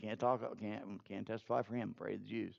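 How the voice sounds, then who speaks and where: The man speaks in a dark, mellow tone. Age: old. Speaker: pastor. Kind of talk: sermon. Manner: animated.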